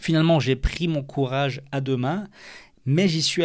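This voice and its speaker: The recording is very clean, with a silent background, as a man with an unremarkable speaking voice and a fairly high pitch talks. He keeps a moderate pace and fairly even intonation. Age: 30s. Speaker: podcaster and amateur surfer. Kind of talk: solo podcast monologue.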